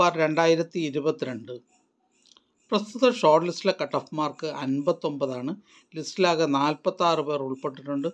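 A man's voice at a moderate pace, with ordinary pitch variation.

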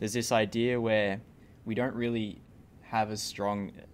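The voice carries an Australian accent. Its intonation stays fairly even. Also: man. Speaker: podcast host / interviewer. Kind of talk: casual interview chat.

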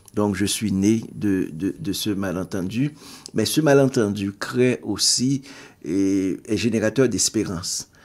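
The speaker talks at a very slow pace. Pitch varies in an ordinary way. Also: man. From Haiti. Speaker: writer and poet. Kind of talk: interview. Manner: halting.

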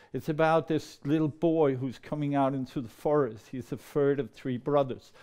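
Dark and mellow, a man's voice comes with a Danish accent at a fairly high pitch and fairly even intonation. He keeps a moderate pace over a quiet background. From Denmark, near Copenhagen. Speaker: storyteller. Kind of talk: storytelling performance. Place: meeting room. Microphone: lapel.

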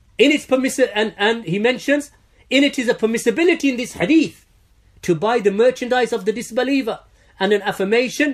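A man speaks at a fairly quick pace. His pitch is extremely high. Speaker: Islamic teacher answering questions. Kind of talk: religious Q&A lecture. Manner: forceful, emphatic preacher in full flow, rhetorical questions and repetition.

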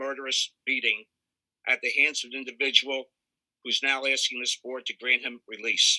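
A man with an American accent, fairly high in pitch, speaks at a moderate pace in a bright, sharp tone with a dry, close sound and no echo. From Pennsylvania. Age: 60s. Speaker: victim's friend giving statement. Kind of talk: victim impact statement. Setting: video call.

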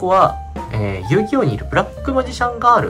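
Fairly quick speech with clear music in the background. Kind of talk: casual vlog chat. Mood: relaxed reminiscing. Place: home room. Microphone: phone near.

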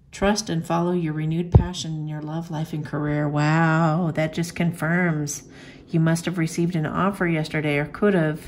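Her voice is very deep and low for a woman, delivered at a moderate pace in a monotone, flat intonation. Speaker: oracle card reader. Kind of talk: card reading commentary. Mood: warm, encouraging. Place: home room.

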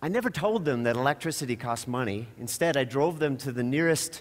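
Pitch shifts in an ordinary way here. The man keeps a moderate pace. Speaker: conference speaker. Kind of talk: public talk with humor. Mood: wry, storytelling. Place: stage. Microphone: headset.

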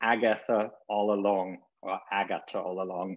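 Quiet background behind a male speaker. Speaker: panel host. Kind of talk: formal introduction. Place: home room. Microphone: webcam.

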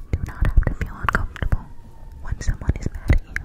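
A woman whispering at a very fast pace. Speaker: ASMR creator. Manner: close cupped ASMR whisper. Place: home room. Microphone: studio mic.

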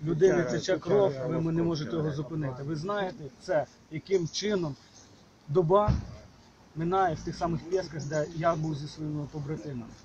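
Noticeable background noise sits behind a man's fairly high-pitched voice. He keeps a moderate pace with ordinary pitch variation. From Ukraine. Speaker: volunteer fighter. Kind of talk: question to an official at a briefing.

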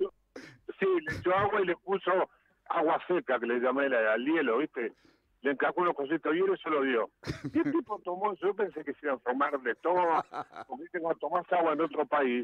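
A man speaks at a very fast pace with a fairly high pitch and lively intonation, leaving long, frequent pauses, in a quiet background with a dry sound and no echo. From Uruguay. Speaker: musician. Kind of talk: interview answer. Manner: casual, lively storytelling. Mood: humorous, joking. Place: studio.

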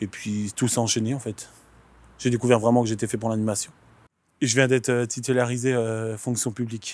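A man's flat, monotone delivery at a moderate pace, with long, frequent pauses and a dry sound with no echo. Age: 20s. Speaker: youth activity leader. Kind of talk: interview. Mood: calm, content. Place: street.

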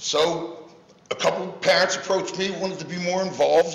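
A man with an American accent talks at a moderate pace, with audible room echo. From US Northeast. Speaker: youth football program founder; youth sports volunteer addressing council. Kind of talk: public comment. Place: hall. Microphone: podium.

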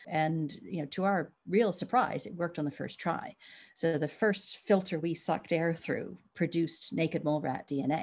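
An unremarkable speaking voice from a woman, fairly low in pitch with ordinary pitch variation, at a moderate pace over a quiet background. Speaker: biologist. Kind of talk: interview.

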